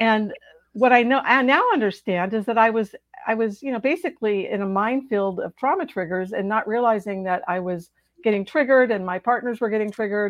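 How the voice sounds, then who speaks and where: A woman has a normal speaking voice with a fairly high pitch and ordinary pitch variation. She talks at a fairly quick pace. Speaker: author and trauma recovery coach. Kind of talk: interview.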